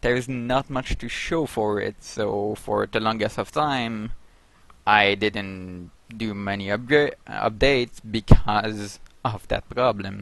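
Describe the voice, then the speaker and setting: A man with a non-native accent speaks at a very slow pace. His pitch is fairly low and his intonation fairly even. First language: not English. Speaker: game addon developer. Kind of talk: video update. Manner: halting.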